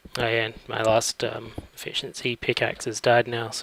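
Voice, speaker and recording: Through noticeable background noise, a man at medium pitch speaks in a monotone, flat intonation. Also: dry, close sound with no echo. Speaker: gaming let's play creator. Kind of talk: gameplay commentary. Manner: casual, hesitant with fillers.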